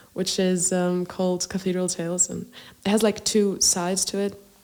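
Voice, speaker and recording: Music plays in the background as a woman speaks at medium pitch. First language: Greek. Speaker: singer-songwriter. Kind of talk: podcast interview.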